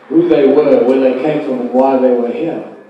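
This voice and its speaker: A man's voice swings very widely in pitch, with audible room echo and noticeable background noise. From South Africa, Rustenburg. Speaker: conference keynote speaker. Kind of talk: conference lecture. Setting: conference hall with audience and live translation. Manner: slow, deliberate. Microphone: bad sound quality.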